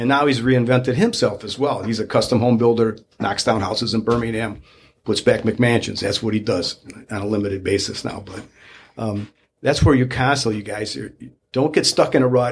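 Somewhat breathy and medium in pitch, a man talks at a fairly quick pace with fairly even intonation. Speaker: real estate broker. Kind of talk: casual chat.

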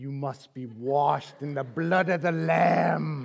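Using a put-on character voice, a man speaks at a fairly slow pace and a fairly high pitch. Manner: creepy, eerie.

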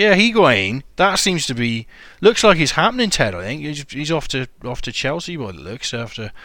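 Speaking with a British accent, a man uses a bright, sharp tone, with very wide pitch swings and big swings in loudness. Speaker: podcast host. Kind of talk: casual chat.

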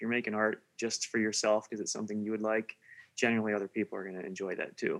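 Very fast, monotone, flat delivery, dry and close with no echo, on a very clean recording with a silent background. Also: man. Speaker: musician. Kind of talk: casual interview chat.

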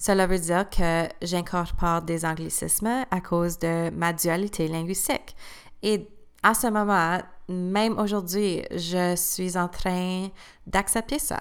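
A woman at a very slow pace, with fairly even intonation. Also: medium pitch for a woman. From Eastern Ontario, Canada (Cornwall area). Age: 20s. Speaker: new teacher and podcast host. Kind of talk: scripted personal testimony. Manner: read-aloud, prepared delivery.

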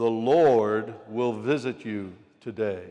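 In a put-on character voice, a man talks at a very slow pace. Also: medium pitch for a man. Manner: solemn, proclaiming.

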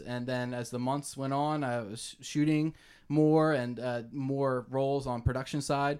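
On a very clean recording with a silent background, a man with an unremarkable speaking voice at medium pitch talks at a moderate pace with fairly even intonation. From Bucks County, Pennsylvania (suburbs of Philadelphia). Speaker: filmmaker. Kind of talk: casual interview.

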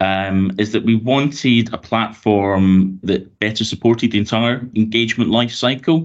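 Speaking with a Glaswegian accent, a man keeps a moderate pace and ordinary pitch variation. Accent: Glaswegian Scottish. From Glasgow, Scotland. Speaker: transport authority consultation lead. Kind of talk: casual interview. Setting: video call.

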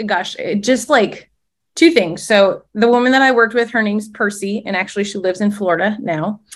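Speaking at a moderate pace, a woman uses a fairly high pitch. She has an Upper Midwest accent. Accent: Upper Midwest American. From Minnesota, small lake town. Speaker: former teacher turned direct-sales leader. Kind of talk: casual interview.

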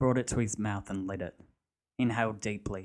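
The reading voice is unforced, and the background is quiet.

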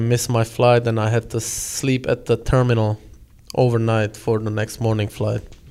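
In a Czech accent, a man speaks at a moderate pace and medium pitch, his tone dark and mellow and his intonation flat and monotone. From Czech Republic. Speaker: hockey player. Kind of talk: casual chat. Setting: locker room.

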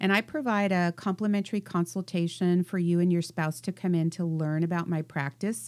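In a very clean recording with a silent background and a dry, close sound with no echo, a woman with an American accent and a normal speaking voice talks at a fairly quick pace and fairly low pitch, with hardly any pauses and very even loudness. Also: ordinary pitch variation. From US East Coast. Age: 60s. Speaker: divorce mediator and financial analyst. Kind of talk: interview.

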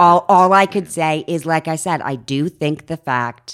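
A woman's very deep, low-pitched voice with lively intonation, dry and close with no echo, on a very clean recording with a silent background. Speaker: recovering alcoholic, healthcare worker. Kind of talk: casual chat.

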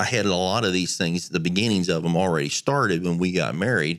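A man talks at a moderate pace in a very deep, low voice with ordinary pitch variation. The recording is very clean, with a silent background. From rural Pennsylvania. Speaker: client of a financial advisor. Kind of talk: interview.

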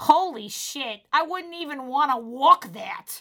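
A female-sounding put-on character voice, high in pitch for a woman, moves at a fairly slow pace in a strong Boston accent that is part of the act. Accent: thick Boston. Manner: blunt, incredulous.

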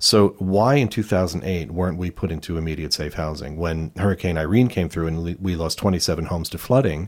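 The speaker talks very fast in an American accent with ordinary pitch variation, on a very clean recording with a silent background. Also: man. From New Jersey. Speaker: environmental activist and artist. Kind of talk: panel discussion.

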